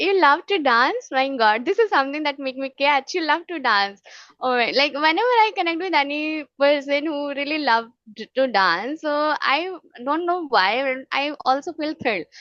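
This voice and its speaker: Lively intonation and a bright, sharp tone come through at a moderate pace, with a dry, close sound, no echo and a quiet background. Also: woman, high pitch for a woman. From Punjab, India. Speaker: English-learning YouTuber, former teacher. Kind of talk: casual chat.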